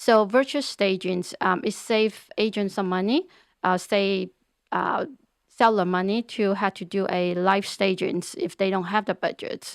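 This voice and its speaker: A woman speaks at a medium pitch and a fairly slow pace, her intonation fairly even. The recording is very clean, with a silent background and a dry, close sound with no echo. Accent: Chinese. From China. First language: Chinese. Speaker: real estate agent. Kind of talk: interview. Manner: halting, many repeated words.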